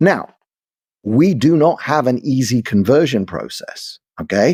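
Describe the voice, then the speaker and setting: Recorded very cleanly over a silent background, a man with a London accent speaks with vocal fry and very wide pitch swings. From London, England. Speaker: commentator. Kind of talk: interview discussion. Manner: animated, repetitive restarts.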